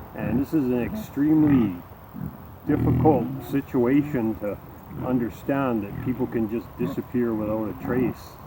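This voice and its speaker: Noticeable background noise runs under this man's voice. He talks at a medium pitch and a moderate pace with ordinary pitch variation. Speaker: YouTuber, hobby farmer and musician. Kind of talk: casual vlog talk.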